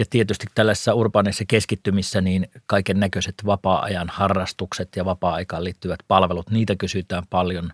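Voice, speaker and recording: A man's very deep, low voice holds a flat monotone at a moderate pace with hardly any pauses. The sound is dry and close with no echo, and the recording is very clean over a silent background. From North Karelia, eastern Finland. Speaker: investment podcast co-host / analyst. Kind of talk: casual discussion. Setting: studio.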